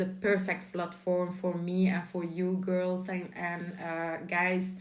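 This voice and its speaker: Audible room echo surrounds a voice with a Flemish accent. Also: woman. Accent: Belgian Dutch-speaking accent in English. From Belgium. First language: Dutch. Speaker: lifestyle YouTuber. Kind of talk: casual vlog monologue.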